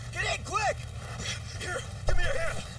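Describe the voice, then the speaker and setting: Someone does a put-on character voice at a moderate pace, with noticeable background noise behind it. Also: man. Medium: video game. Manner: energetic, earnest.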